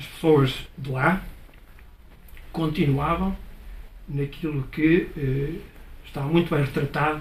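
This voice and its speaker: A very slow pace with fairly even intonation and audible room echo. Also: man. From northern Portugal (Chaves area). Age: 70s. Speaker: audience speaker at book talk. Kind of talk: public talk. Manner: hesitant, many fillers.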